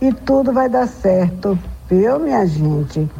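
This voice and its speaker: Music plays in the background. A woman with a fairly low pitch speaks with lively intonation. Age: old. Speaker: religious elder. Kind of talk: radio reflection message. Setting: radio broadcast.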